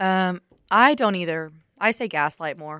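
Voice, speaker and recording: On a very clean recording with a silent background, a woman with a Southern US accent speaks in a fairly low pitch with a bright, sharp tone and ordinary pitch variation. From US South, Alabama. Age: 20s. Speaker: college radio host. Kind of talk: casual chat. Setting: studio.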